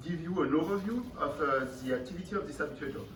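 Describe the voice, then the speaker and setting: There is audible room echo and noticeable background noise. A man with a French accent talks at a fairly quick pace with lively intonation. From France. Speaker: company founder and CEO. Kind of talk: conference presentation. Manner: hesitant, many fillers.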